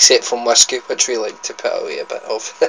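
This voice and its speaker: A man speaks with a Scottish accent. Noticeable background noise is present. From Scotland. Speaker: food vlogger. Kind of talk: casual vlog, food tasting. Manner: animated.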